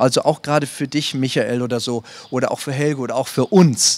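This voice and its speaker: A man talks in a normal speaking voice. His pitch is fairly high and varies in an ordinary way. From northern Germany. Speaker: theatre director. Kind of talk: panel discussion. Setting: stage with audience. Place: stage.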